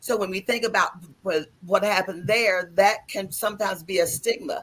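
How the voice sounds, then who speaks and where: A woman with an American accent speaks at a moderate pace and medium pitch, with ordinary pitch variation and a plain, everyday voice. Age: 60s. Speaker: lung cancer survivor, patient advocate. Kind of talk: panel discussion.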